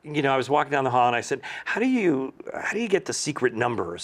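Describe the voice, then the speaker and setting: Delivered at a very fast pace, the voice makes very wide pitch swings. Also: man. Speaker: retiring teacher. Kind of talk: interview answer. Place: studio. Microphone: lapel.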